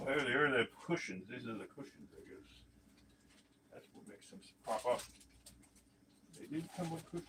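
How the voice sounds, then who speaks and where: A man with a fairly high pitch mumbles at a moderate pace, with lively intonation. His loudness swings widely, and he takes long, frequent pauses. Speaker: toy collector youtuber. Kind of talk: casual unboxing livestream talk. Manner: mumbling; casual, hesitant.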